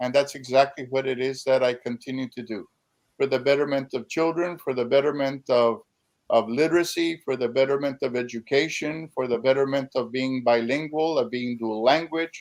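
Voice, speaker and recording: Over a quiet background, a plain, everyday voice moves at a moderate pace with fairly even intonation. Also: man, medium pitch for a man. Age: 60s. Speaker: poet and educator. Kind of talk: panel discussion.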